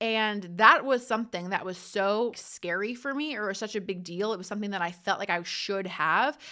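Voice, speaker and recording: A woman speaks in a New Jersey accent. Her tone is bright and sharp, her pitch fairly high. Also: very clean recording, silent background. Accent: New Jersey American. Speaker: podcast host. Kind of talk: casual solo podcast monologue. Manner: fast.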